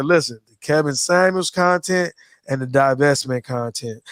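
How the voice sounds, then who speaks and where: Ordinary pitch variation marks a man's speech in a very clean recording with a silent background. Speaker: livestream commentary host. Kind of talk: casual live stream chat. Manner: fast.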